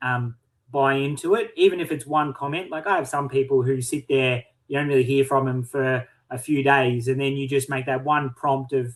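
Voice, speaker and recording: A man with a fairly high voice, a normal speaking voice, talks at a moderate pace with fairly even intonation. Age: 30s. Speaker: online community owner. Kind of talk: casual chat.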